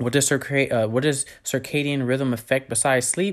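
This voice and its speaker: The recording is very clean, with a silent background. A man talks in an animated tone at a moderate pace. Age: 20s. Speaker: podcast host. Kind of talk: solo educational monologue. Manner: casual with frequent filler words.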